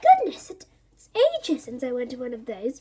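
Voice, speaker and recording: Using a put-on character voice, a woman speaks at a high pitch and moderate pace with lively intonation and big swings in loudness. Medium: read story. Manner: warm, indulgent.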